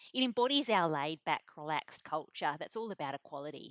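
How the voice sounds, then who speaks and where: In an Australian accent, a woman speaks fairly quickly at a fairly low pitch with lively intonation, the sound dry and close with no echo. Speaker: video presenter. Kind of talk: casual explainer. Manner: relaxed, informal.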